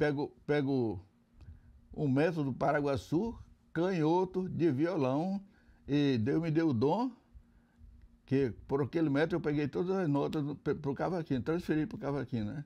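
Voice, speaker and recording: This man's voice has a dark, mellow tone, sitting fairly high in pitch with lively intonation. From Acre, Brazil (rural colony on the Acre river). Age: 80s+. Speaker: veteran musician. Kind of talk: interview. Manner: halting, with many repetitions.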